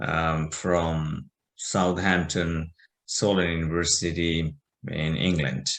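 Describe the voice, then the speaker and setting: Against a quiet background, a man with a Bangladeshi accent speaks at a very slow pace and a very deep, low pitch. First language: Bengali. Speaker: business owner. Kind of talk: interview. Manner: halting, many fillers.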